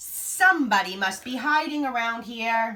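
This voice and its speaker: Using a put-on character voice, a woman speaks fairly high in pitch at a moderate pace with lively intonation. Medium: read story.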